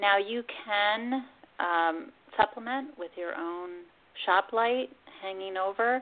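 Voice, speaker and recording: Speaking at a very slow pace, a woman with an American accent shows big swings in loudness and ordinary pitch variation. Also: medium pitch for a woman. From Pennsylvania. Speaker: master gardener and food activist. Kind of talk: radio interview.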